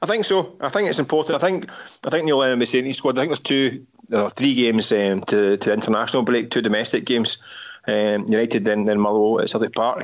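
Very fast speech in a Glaswegian accent, with lively intonation and very even loudness. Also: man, medium pitch for a man. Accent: Glaswegian Scottish. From Scotland, Glasgow. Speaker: football journalist. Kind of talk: casual chat.

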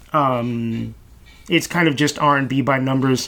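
A man with an American accent. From Brooklyn, New York City (East Flatbush). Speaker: radio host. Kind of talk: solo monologue.

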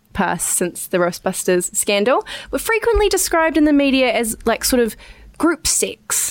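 This woman speaks with a New Zealand accent. Her pace is fairly slow. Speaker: podcast host. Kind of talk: casual chat.

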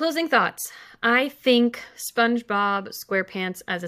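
On a very clean recording with a silent background, a woman with an American accent talks at a fairly slow pace in a bright, sharp tone with ordinary pitch variation. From California, San Fernando Valley. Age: 30s. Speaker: comedy writer. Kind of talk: casual chat.

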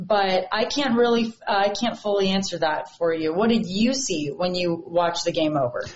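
A woman at a medium pitch, moderate pace and ordinary pitch variation, with hardly any pauses and noticeable background noise. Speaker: TV sports reporter. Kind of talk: casual chat.

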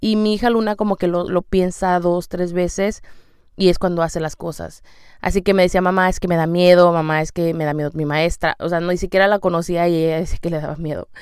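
This woman has a fairly low pitch and fairly even intonation, and she talks at a fairly quick pace. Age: 30s. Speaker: podcast host, mother. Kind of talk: personal monologue.

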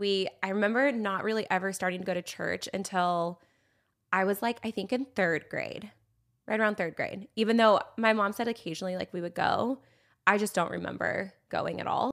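A woman's bright, sharp, medium-pitched voice in a Californian accent with fairly even intonation, on a very clean recording with a silent background. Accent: Californian American. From San Diego, California. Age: 30s. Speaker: social media influencer and mother. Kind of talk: casual chat.

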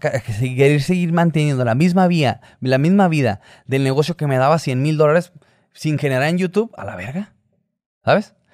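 Fairly quick delivery from a man, a plain, everyday voice, fairly high in pitch, ordinary in pitch variation. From Hermosillo, Sonora, northern Mexico. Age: 30s. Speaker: YouTuber, businessman. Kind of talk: casual interview chat.

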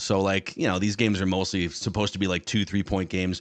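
The man's speech moves at a very fast pace. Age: 30s. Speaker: podcast host. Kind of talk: casual chat.

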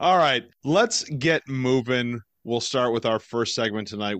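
With an ordinary speaking voice, a man talks at a fairly slow pace and medium pitch, his intonation lively, against a quiet background. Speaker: podcast host. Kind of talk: casual sports podcast chat.

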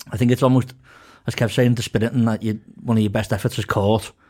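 A man with a Liverpool accent talks at a very fast pace in a medium pitch, his dark, mellow tone carried by fairly even intonation. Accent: Scouse. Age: 20s. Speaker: football podcast panelist. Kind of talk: casual chat.

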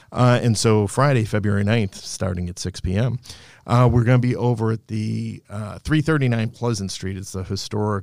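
In a very clean recording with a silent background, a man with an American accent speaks at a fairly low pitch and moderate pace with ordinary pitch variation in a plain, everyday voice. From Boston area, Massachusetts. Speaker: singer's manager, former government contractor. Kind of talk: casual interview chat. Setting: studio.

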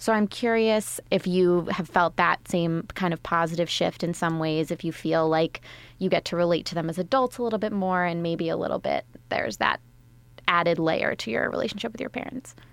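On a very clean recording with a silent background, a woman uses a plain, everyday voice, fairly low in pitch with ordinary variation, at a fairly quick pace. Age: 20s. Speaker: podcast host. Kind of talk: casual chat. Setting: studio.

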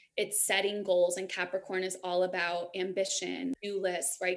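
A woman with an American accent talks at a fairly slow pace and medium pitch in an ordinary speaking voice, with hardly any pauses. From New York. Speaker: Reiki master and empowerment coach. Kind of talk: casual interview chat.

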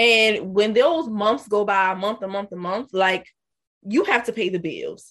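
A woman with a normal speaking voice talks at a fairly slow pace in a medium pitch with ordinary pitch variation. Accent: American. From US South, South Carolina. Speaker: podcast host. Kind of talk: interview.

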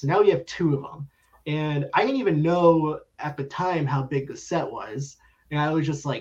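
Somewhat breathy, this voice keeps a moderate pace and shows ordinary pitch variation. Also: man. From South Florida. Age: 30s. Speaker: sports card collector. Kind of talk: casual chat.

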